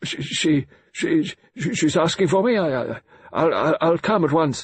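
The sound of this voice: Putting on a gruff character voice with a slightly husky edge, a man talks at a fairly slow pace, fairly high-pitched for a man, with lively intonation.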